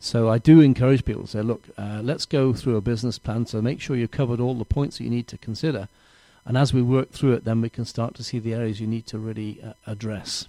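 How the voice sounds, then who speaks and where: In an English accent, the speaker talks at a very fast pace with fairly even intonation and a dark, mellow tone, the sound dry and close with no echo. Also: man, medium pitch for a man. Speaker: small business mentor. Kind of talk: interview.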